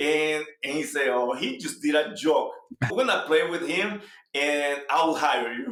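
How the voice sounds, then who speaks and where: A man with a Salvadoran accent, fairly high-pitched, animated in tone with lively intonation, at a fairly slow pace, plus audible room echo. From El Salvador. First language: Spanish. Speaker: real estate agent. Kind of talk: interview.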